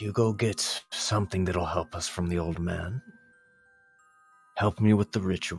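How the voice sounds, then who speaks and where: Using a put-on character voice, a man speaks at a very deep, low pitch with long, frequent pauses. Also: moderate pace. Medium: actual play. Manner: calm, terse, bargaining.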